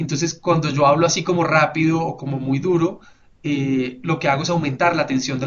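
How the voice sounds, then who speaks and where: This man's intonation is fairly even. His pitch is fairly high. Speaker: webinar presenter. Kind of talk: webinar presentation. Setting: online webinar. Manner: fast; hesitant fillers.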